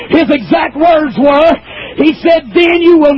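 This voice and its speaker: A man shouts at an extremely high pitch with ordinary pitch variation. Noticeable background noise runs underneath. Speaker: preacher. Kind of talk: sermon. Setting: church pulpit with youth audience.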